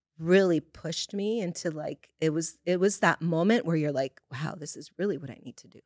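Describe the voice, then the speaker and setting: Spoken in a plain, everyday voice at a fairly quick pace, the speech has ordinary pitch variation, big swings in loudness, and hardly any pauses. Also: woman, fairly low pitch for a woman. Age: 50s. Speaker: podcast host sharing her own story. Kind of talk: personal testimony in casual interview.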